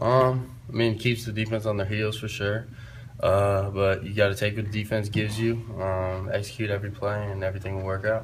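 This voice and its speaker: A man's monotone voice with flat intonation and audible room echo. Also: fairly low pitch for a man, fairly quick pace. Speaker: college football quarterback. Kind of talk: press conference. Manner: loud; hesitant, many fillers.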